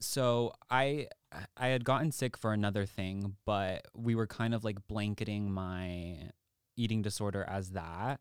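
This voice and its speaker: In an American accent, a man with an unremarkable speaking voice talks at a fairly low pitch and a fairly slow pace with ordinary pitch variation, on a very clean recording with a silent background. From Texas, Austin. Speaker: podcast host. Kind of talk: casual chat.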